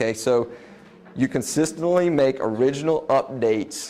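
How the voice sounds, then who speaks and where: Here a man is speaking. His pitch variation is ordinary. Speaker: web design business owner giving a presentation. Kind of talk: presentation to a live audience. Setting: room with live audience. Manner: fast.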